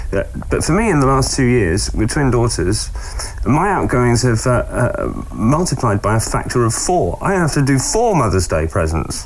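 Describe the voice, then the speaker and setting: A man speaking at a very even loudness, with noticeable background noise. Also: moderate pace. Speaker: motorsport radio host. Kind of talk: casual interview.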